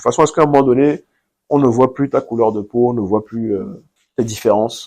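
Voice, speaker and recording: A man's dark, mellow tone comes at a moderate pace with ordinary pitch variation. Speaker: entrepreneur. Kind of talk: interview. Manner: hesitant.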